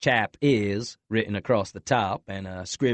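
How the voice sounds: Quiet background, a natural reading voice, ordinary pitch variation.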